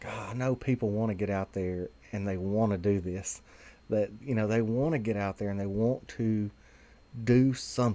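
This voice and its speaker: A man speaks with a Southern US accent in a dark, mellow tone at a fairly low pitch. His pace is moderate and his intonation fairly even. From Tennessee. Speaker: vaping advocate video host. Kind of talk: casual video monologue. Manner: hesitant, many fillers.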